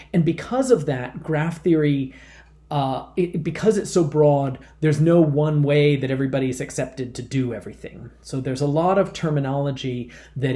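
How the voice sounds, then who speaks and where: Recorded with audible room echo, a man speaks at a moderate pace in a fairly high, somewhat breathy voice with a dark, mellow tone, ordinary pitch variation and big swings in loudness. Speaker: math professor. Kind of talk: lecture. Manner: halting, many fillers and repetitions.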